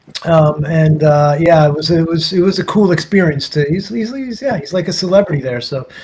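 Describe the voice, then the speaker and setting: Over noticeable background noise, a man with an American accent talks at a fairly quick pace in a high voice with ordinary pitch variation. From US Northeast, New York (Nyack). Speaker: guest on interview show. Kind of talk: casual storytelling interview. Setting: livestream. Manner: repetitive, halting false starts.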